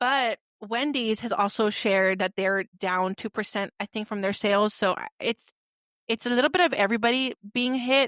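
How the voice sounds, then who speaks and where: In an ordinary speaking voice, a woman talks at a moderate pace and fairly high pitch with ordinary pitch variation, the sound dry and close with no echo. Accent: American. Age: 30s. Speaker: podcast host. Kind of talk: casual chat.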